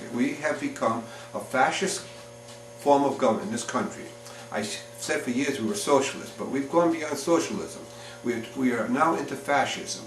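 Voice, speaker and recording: With an American accent, a man talks at a moderate pace over noticeable background noise and audible room echo. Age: 60s. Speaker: political candidate. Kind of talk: political interview. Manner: halting, many repeated words; emphatic.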